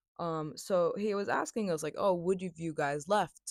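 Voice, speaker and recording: Moderate pace and ordinary pitch variation, in a very clean recording with a silent background and a dry, close sound with no echo. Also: woman. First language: not English; English is second language. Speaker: podcaster, film student. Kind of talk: casual chat. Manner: casual, with many fillers and self-corrections.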